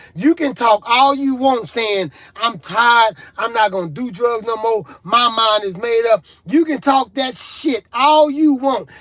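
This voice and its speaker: Animated in tone, a man speaks fairly slowly in an extremely high voice with ordinary pitch variation. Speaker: rap artist and recovery talk show host. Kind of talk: motivational talk on addiction, live stream. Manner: animated, repetitive preaching style.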